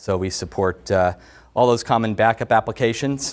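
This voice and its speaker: In an ordinary speaking voice, a man talks at a moderate pace and fairly low pitch, with ordinary pitch variation, on a very clean recording with a silent background. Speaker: tech company director presenting product. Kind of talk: technical product presentation. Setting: presentation room with audience.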